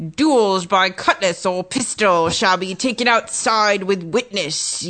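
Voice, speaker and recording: A female-sounding, put-on character voice speaks at a medium pitch for a woman. The pace is fairly slow, with light background noise. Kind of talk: archaic, pirate-speak.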